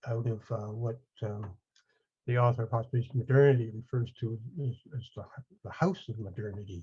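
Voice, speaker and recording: This man's voice is somewhat breathy with a dark, mellow tone, fairly even intonation and long, frequent pauses. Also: medium pitch for a man, moderate pace. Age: 70s. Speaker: audience participant. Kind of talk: question from audience. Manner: halting.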